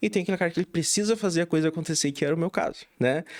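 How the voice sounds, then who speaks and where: With a southern Brazilian accent, a man at a fairly high pitch speaks at a very fast pace on a very clean recording with a silent background. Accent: gaúcho (southern Brazilian). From southern Brazil, Rio Grande do Sul (São Gabriel, border region). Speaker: real estate inspection franchise owner. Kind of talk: podcast interview.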